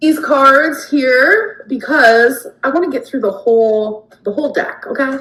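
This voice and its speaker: With hardly any pauses, a woman speaks at a fairly slow pace with a high pitch and lively intonation. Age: 30s. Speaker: YouTuber being reacted to. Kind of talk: casual vlog Q&A.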